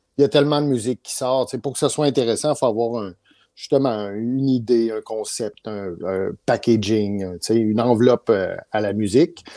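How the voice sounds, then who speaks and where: Against a quiet background, a man speaks at a medium pitch with a Canadian French accent. His tone is dark and mellow, his pace moderate and his pitch variation ordinary. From Quebec, Canada. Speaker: music producer; guest. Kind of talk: interview. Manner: hesitant, many fillers. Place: home room. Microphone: video call.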